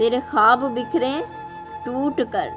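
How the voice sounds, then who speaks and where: A woman in a sad tone with ordinary pitch variation, music in the background. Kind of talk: poetry reading. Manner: sad, emotional.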